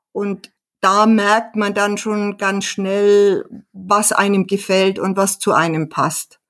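A woman talks at a very slow pace with monotone, flat intonation. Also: medium pitch for a woman. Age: 60s. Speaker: hobby pianist and author. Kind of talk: casual interview.

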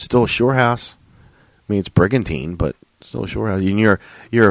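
This man speaks with ordinary pitch variation. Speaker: podcast co-host. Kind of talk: casual banter, comedic chat. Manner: joking, irreverent.

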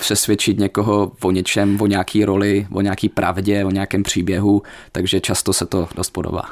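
On a very clean recording with a silent background, a man with an Ostrava accent talks at a moderate pace and a fairly low pitch. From Ostrava, Moravia-Silesia, Czechia. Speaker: law student. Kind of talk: radio interview. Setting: radio studio.

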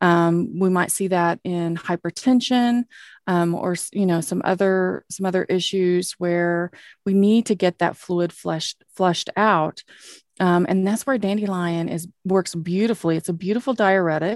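A fairly slow American accent with fairly even intonation, dry and close with no echo, very clean recording, silent background. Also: woman, medium pitch for a woman. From Oklahoma. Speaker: naturopathic doctor. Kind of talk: educational podcast talk about medicinal plants.

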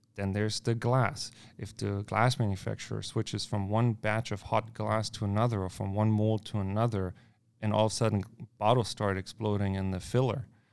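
Fairly quick, flat monotone speech in a German accent, on a very clean recording with a silent background. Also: man, fairly low pitch for a man. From Germany. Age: 20s. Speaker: brewer. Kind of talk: casual chat. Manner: direct.

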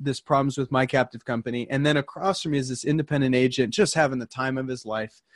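Speaking at a fairly quick pace, a man with a plain, everyday voice keeps a medium pitch and fairly even intonation, the sound dry and close with no echo and the background quiet. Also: hardly any pauses. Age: 30s. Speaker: independent insurance agency owner. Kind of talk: casual chat.

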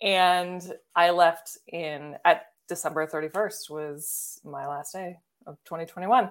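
With fairly even intonation and big swings in loudness, a woman uses an ordinary speaking voice at a fairly low pitch. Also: very clean recording, silent background. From Baltimore, US. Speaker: video editor and coach. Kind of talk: casual interview.

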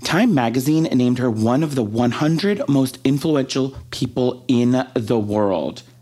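A man with an American accent speaks at a very slow pace. His medium-pitched delivery has lively intonation and very even loudness. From Texas. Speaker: podcast co-host. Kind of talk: casual chat.

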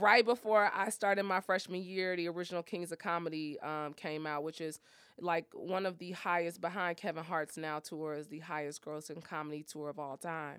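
Fairly even intonation in a normal speaking voice. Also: woman, fairly low pitch for a woman, moderate pace, hardly any pauses, very clean recording, silent background. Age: 30s. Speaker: motivational speaker and fitness coach. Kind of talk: casual interview.

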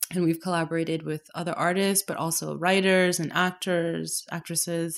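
The recording is very clean with a silent background. A woman with a Canadian accent speaks in monotone, flat intonation. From Canada, Toronto. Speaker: painter. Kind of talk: casual interview.

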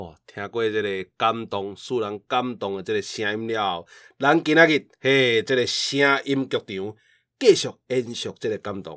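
At a fairly slow pace, a man with a medium pitch and ordinary pitch variation talks with big swings in loudness, on a very clean recording with a silent background and a dry, close sound with no echo. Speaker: podcast host. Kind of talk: reading aloud; casual chat. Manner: animated.

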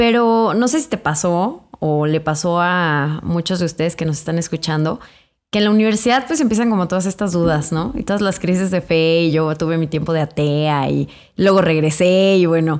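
In a normal speaking voice, a woman talks at a moderate pace, fairly low in pitch with ordinary pitch variation, on a very clean recording with a silent background. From Mexico, Irapuato, Guanajuato. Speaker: podcast co-host, pro-life feminist activist. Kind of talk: casual interview.

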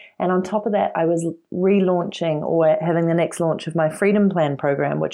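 A woman's dark, mellow voice, fairly low in pitch, with a New Zealand accent. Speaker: entrepreneur and author. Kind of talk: interview.

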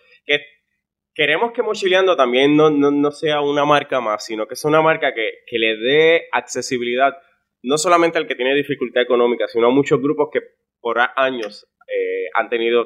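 A man has an ordinary speaking voice at a fairly high pitch. His pace is moderate and his pitch variation ordinary. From Puerto Rico (Florida municipality). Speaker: travel deals entrepreneur. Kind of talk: interview conversation.

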